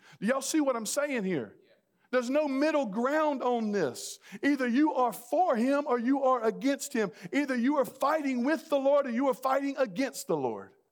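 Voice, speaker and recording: Man with an American accent, extremely high pitch and moderate pace. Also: ordinary pitch variation. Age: 40s. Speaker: pastor. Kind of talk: sermon.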